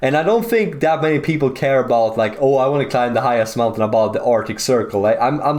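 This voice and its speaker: A man with a Swedish accent talks very fast in an animated tone at a medium pitch, with audible room echo. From Sweden. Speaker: geography YouTuber. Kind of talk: casual commentary over maps. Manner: casual, animated.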